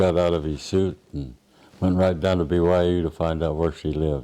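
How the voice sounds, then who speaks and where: A man talks with a very deep, low pitch at a fairly slow pace. He speaks with an American accent. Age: 90s. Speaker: retiree telling his life story. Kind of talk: oral history interview. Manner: halting.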